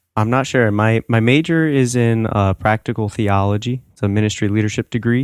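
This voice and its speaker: In a very clean recording with a silent background and a dry, close sound with no echo, a man with an ordinary speaking voice talks at a fairly quick pace with hardly any pauses, a medium pitch and fairly even intonation. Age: 20s. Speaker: college student, summer intern. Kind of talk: casual interview.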